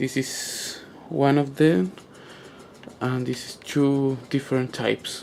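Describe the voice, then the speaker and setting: The speaker has a non-native accent and talks at a very slow pace with long, frequent pauses. Intonation is fairly even, and there is noticeable background noise. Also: man, medium pitch for a man. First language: not English. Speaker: gamer asking for tech help. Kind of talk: tutorial-style demonstration video. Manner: halting, many fillers.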